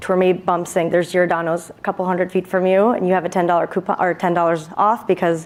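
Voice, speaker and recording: Her pace is fairly quick and her intonation fairly even. This woman speaks at a fairly low pitch. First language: Hindi. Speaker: startup founder pitching to judges. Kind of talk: Q&A after startup pitch.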